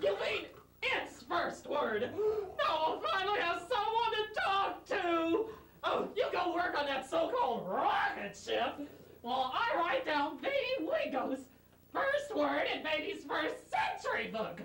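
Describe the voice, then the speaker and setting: A man's put-on character voice, extremely high in pitch with very wide swings, at a fairly slow pace with slight echo. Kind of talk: comic overacting, sitcom parody. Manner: whiny, demanding.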